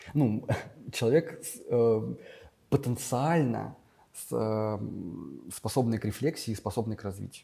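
A man with a medium pitch speaks at a very slow pace, with long, frequent pauses, ordinary pitch variation and a dark, mellow, somewhat breathy tone. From Russia, Vladimir region (Gus-Khrustalny). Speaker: school teacher. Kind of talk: casual interview.

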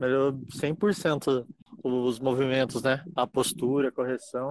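This man talks very slowly, his voice sitting at a medium pitch. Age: 20s. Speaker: pharmacy clerk and gym member. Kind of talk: casual interview. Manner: halting.

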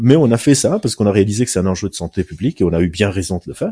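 The voice is somewhat breathy with a dark, mellow tone, moving at a very fast pace. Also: man. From Lebanon. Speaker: neuroscientist and clinical psychologist. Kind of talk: casual interview.

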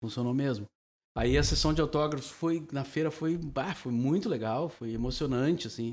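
A man's plain, everyday voice at a fairly high pitch, moderate pace and ordinary pitch variation. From southern Brazil, Cachoeira do Sul (Rio Grande do Sul). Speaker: veteran radio broadcaster. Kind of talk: casual chat. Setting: drinking wine during recorded podcast.

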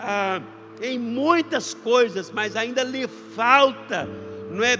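A man speaks in a raised, projected voice at an extremely high pitch. His pace is very slow. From Brazil, interior of Minas Gerais. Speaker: pastor. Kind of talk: sermon. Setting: livestreamed church service. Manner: halting, many fillers.

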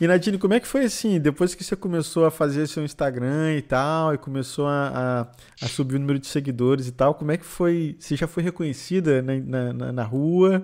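At a moderate pace with hardly any pauses, this is an ordinary speaking voice with ordinary pitch variation. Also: man, fairly high pitch for a man. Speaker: podcast host. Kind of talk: casual chat.

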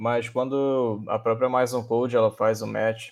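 At a fairly slow pace, a man with a normal speaking voice talks at medium pitch. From interior of Rio de Janeiro state. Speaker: researcher and programming teacher. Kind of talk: casual chat.

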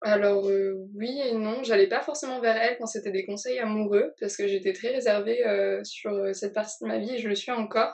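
With a plain, everyday voice, a woman speaks at a fairly high pitch and moderate pace, with fairly even intonation and hardly any pauses. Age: young. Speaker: guest. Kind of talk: casual chat.

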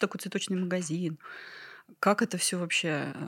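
Her pitch sits in the medium range for a woman, and her intonation is fairly even. She talks at a moderate pace. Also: very clean recording, silent background. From Ryazan, Russia. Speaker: flower farmer. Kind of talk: casual interview chat.

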